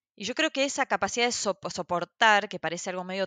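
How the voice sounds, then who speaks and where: Her pitch sits in the medium range for a woman, with ordinary variation. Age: 40s. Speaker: social entrepreneur and activist. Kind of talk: interview conversation. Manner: halting, many fillers.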